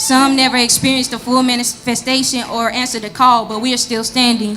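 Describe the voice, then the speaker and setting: Noticeable background noise sits under a woman talking very fast. Her high voice stays monotone and flat. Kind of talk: spoken word poetry performance. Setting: live church service.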